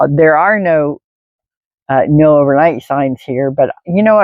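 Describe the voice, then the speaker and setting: A woman speaks at a moderate pace with ordinary pitch variation. Her pitch is very deep and low. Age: 60s. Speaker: van-dwelling nomad vlogger. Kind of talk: casual vlog monologue. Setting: in a van parked at an ocean park. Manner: conversational, with fillers.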